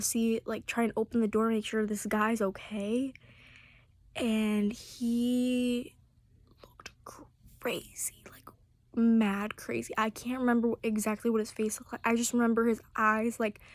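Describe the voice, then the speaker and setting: A whispering woman at a fairly slow pace. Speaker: vlogger. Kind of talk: casual storytelling. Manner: rambling with fillers.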